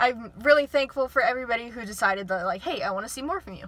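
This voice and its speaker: A woman's raised, projected voice at a very fast pace, over noticeable background noise. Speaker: YouTuber. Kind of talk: casual vlog. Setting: outdoors near airport. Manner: shaky voice.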